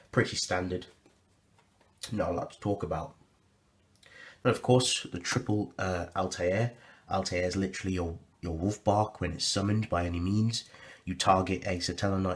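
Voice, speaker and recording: In a very clean recording with a silent background, a man with a very deep, low voice speaks at a moderate pace, somewhat breathy, with long, frequent pauses and big swings in loudness. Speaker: card game deck reviewer. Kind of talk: deck profile tutorial. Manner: casual, halting with fillers.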